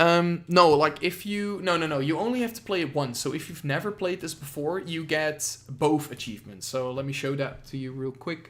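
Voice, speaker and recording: At a moderate pace, a man speaks in a fairly high pitch in a very clean recording with a silent background. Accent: Dutch. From Netherlands. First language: Dutch. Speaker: gaming streamer. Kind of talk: live game reaction stream. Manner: halting, many fillers.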